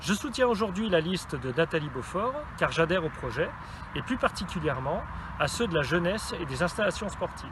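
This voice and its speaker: Over noticeable background noise, a man with a high-pitched voice talks at a fairly quick pace. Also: lively intonation. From France, Isère. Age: 40s. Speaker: PE teacher. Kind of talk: campaign testimonial.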